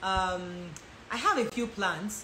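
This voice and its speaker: Speaking with an American accent, a woman at medium pitch shows ordinary pitch variation, with audible room echo and noticeable background noise. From Nigeria (Lagos), high school years in the US. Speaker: lifestyle and relationship content creator. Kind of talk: live Q&A. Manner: fast.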